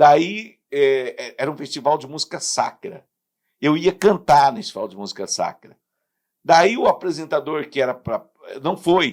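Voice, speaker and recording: With a normal speaking voice, a man talks at a fairly slow pace and fairly high pitch, his intonation lively and his loudness swinging widely. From southern Brazil, Paraná. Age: 60s. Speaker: radio announcer and sports commentator. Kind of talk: casual interview chat.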